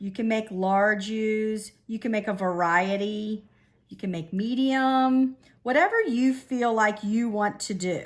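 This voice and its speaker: A woman with an ordinary speaking voice talks at a fairly slow pace and a fairly high pitch. Her pitch varies in an ordinary way on a very clean recording with a silent background. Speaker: elementary school art teacher. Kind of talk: tutorial.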